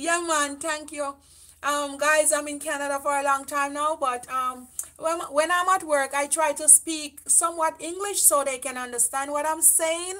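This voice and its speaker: A woman with a Jamaican accent speaks in a raised, projected voice at a high pitch and a moderate pace, with fairly even intonation. Her tone is bright and sharp, and the background is quiet. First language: Jamaican Patois. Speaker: beauty vlogger. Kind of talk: livestream chat. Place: home room. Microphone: camera far.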